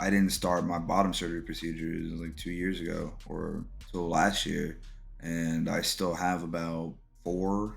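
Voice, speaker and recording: With audible room echo, a man speaks at a fairly slow pace in a very deep, low voice. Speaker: podcast host, military veteran. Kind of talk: personal testimony.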